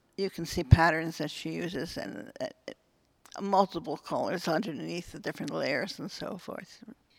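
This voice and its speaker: With an American accent, a woman speaks at a fairly low pitch and moderate pace, using lively intonation, vocal fry, and big swings in loudness. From Philadelphia. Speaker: former art student. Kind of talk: interview. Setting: art gallery. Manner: halting.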